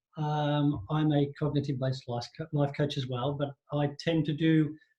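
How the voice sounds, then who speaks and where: A somewhat breathy man's voice, fairly high in pitch, with an Australian accent. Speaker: life coach. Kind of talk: online workshop talk.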